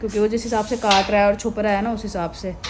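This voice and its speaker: Against noticeable background noise, a woman races along very fast in a fairly high, flat, monotone voice. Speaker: vlogger. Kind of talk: casual vlog narration.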